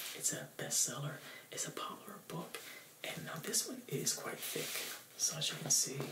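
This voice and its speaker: A whisper, delivered at moderate speed. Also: man. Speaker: presenter. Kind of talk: casual tutorial-style book talk. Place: home room.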